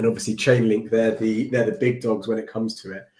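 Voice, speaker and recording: The man's tone is dark and mellow. He talks with a British accent. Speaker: developer livestreamer. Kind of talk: live coding stream. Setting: livestream with screen share. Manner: casual, halting with fillers.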